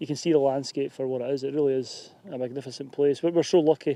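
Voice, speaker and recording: A man with a Scottish accent, a dark, mellow tone and a fairly high pitch, at a fairly quick pace with ordinary pitch variation, in a dry, close sound with no echo. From Scotland. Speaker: YouTuber and hillwalker. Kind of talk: casual chat. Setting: outdoors. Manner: halting.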